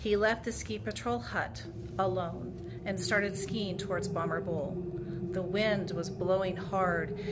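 A woman's fairly slow speech over loud background noise. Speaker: community leader. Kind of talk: reading aloud. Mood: hushed, eerie tone. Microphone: phone near.

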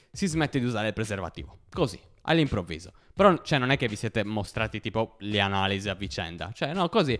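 Against a quiet background, a man speaks very fast with very wide pitch swings. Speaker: stand-up comedian. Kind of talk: stand-up comedy. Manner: casual, conversational storytelling with hesitant fillers. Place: home room. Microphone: handheld.

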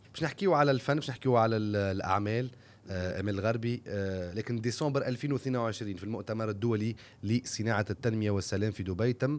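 A man with a plain, everyday voice talks at a fairly quick pace and a fairly low pitch, with ordinary pitch variation. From Tunisia. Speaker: podcast host. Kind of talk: interview. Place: studio. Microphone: studio mic.

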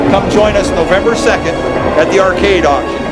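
A man keeps a moderate pace while loud background music plays. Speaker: auctioneer. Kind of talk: radio-style promotional ad read for an auction. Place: hall.

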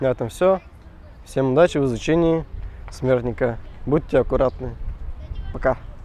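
A man speaks at a moderate pace with a dark, mellow tone, ordinary pitch variation, and a dry sound free of echo. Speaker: street workout instructor. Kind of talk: tutorial. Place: garden. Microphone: lapel.

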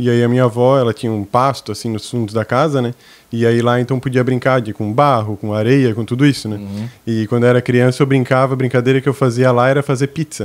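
This man talks at a very fast pace in a medium pitch, his intonation monotone and flat. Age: 20s. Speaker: café owner and pastry chef; guest. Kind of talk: interview. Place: studio. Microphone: studio mic.

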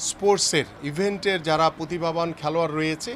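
With noticeable background noise around him, a man talks in a high voice whose pitch varies in an ordinary way. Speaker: party politician. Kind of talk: speech to press. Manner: halting; formal.

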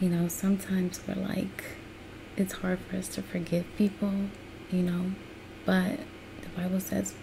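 Whispering in an American accent, a soft-spoken speaker with a gentle tone goes at a moderate pace with long, frequent pauses over noticeable background noise. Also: woman. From United States. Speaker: ASMR creator. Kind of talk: casual encouraging commentary. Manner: soft, gentle whisper. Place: home room. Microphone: webcam.

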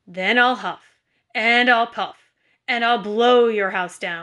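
A woman's put-on character voice, growling and fairly high-pitched, at a fairly slow pace. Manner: growling, threatening.

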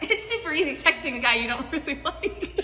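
Raising and projecting her voice, a woman talks at a fairly quick pace with very wide pitch swings. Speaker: content creator. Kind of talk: comedic storytelling to camera. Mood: playful, teasing. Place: hall. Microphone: phone near.

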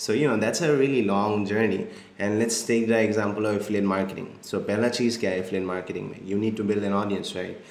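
The delivery is very fast, with audible echo from the room. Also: man, fairly even intonation. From India, Assam. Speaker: marketing agency founder. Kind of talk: interview, casual chat. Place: home room.

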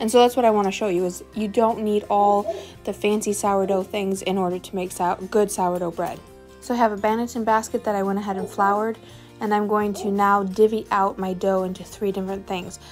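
A woman at a fairly quick pace, monotone and flat, with faint music in the background. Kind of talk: tutorial. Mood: relaxed, encouraging. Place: kitchen. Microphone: phone near.

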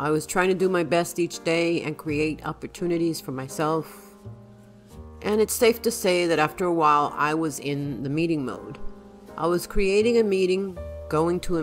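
Music plays in the background as a woman talks at a moderate pace. Her pitch is fairly low, with ordinary pitch variation. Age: old. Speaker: retired teacher. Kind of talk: casual talk to camera.

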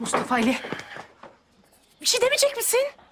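A woman does a put-on character voice at an extremely high pitch with big pitch swings. Her tone is fairly bright and her pace fairly quick.

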